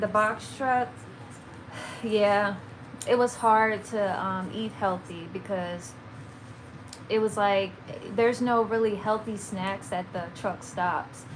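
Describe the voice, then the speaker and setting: With a Maryland accent, a woman talks at a very slow pace and medium pitch with ordinary pitch variation, amid noticeable background noise and audible room echo. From Maryland, near DC. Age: 30s. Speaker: lifestyle and plant-based content creator. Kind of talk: livestream chat with viewers. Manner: halting, many fillers.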